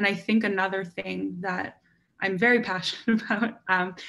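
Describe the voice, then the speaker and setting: Vocal fry runs through a woman's voice. Her intonation stays fairly even. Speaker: university student panellist. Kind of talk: panel discussion.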